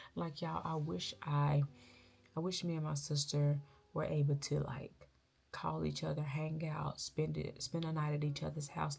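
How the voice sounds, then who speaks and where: Her pitch sits very deep and low for a woman. She talks at a fairly slow pace. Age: 30s. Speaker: vlogger. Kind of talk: personal confessional vlog. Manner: loud.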